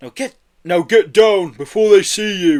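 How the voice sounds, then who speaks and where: Gruff, high-pitched put-on character voice from a man, at a moderate pace, with a dry, close sound and no echo. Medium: read story.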